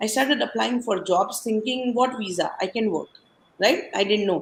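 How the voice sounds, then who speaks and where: Her voice is fairly high and somewhat breathy, with lively intonation. The woman speaks with an Indian accent. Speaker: podcast guest sharing life story. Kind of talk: casual interview, personal story. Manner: animated storytelling.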